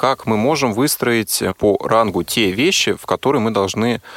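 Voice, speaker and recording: A man has an unremarkable speaking voice with a fairly low pitch and ordinary pitch variation. The sound is dry and close, with no echo. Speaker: radio host. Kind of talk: radio interview. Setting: studio.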